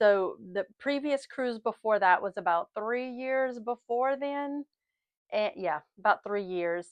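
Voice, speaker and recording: Against a quiet background, a woman with a Southern US accent speaks at a very slow pace with a fairly high pitch and lively intonation, recorded dry and close with no echo. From US South. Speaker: lifestyle and travel vlogger. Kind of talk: casual vlog chat. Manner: chatty, rambling.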